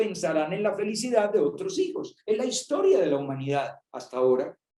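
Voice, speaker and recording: A man with a high pitch and a dark, mellow tone speaks with ordinary pitch variation. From Colombia. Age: 60s. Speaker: priest. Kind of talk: talk to young people.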